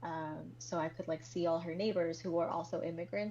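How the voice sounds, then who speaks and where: A woman with a Spanish accent speaks at a fairly low pitch. Her intonation is lively. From Colombia, then US Midwest (Kansas City) from age eight. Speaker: guest, immigrant and video creator. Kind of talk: casual interview chat.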